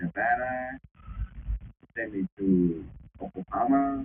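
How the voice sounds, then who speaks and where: A man speaks with a Vietnamese accent. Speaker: former prisoner. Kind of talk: testimony. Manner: halting.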